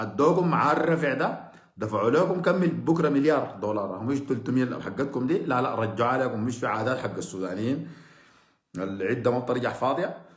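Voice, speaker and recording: Amid audible room echo, a man speaks at a moderate pace with lively intonation and an animated tone. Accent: Sudanese. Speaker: political commentator. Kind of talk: political monologue. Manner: sarcastic.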